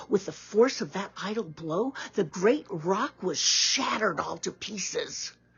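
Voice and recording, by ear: Reading aloud in a natural voice, the intonation lively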